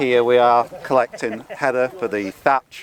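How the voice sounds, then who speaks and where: Noticeable noise runs through the background. Over it, a man talks. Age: 60s. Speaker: retired volunteer. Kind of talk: interview. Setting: outdoors.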